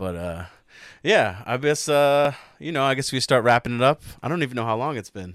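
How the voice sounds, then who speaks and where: Speaking at a fairly quick pace with lively intonation, this is a normal speaking voice on a very clean recording with a silent background. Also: man, medium pitch for a man. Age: 30s. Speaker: podcast host. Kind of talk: casual chat.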